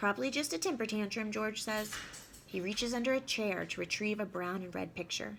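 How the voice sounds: A natural reading voice moves up and down in pitch in an ordinary way.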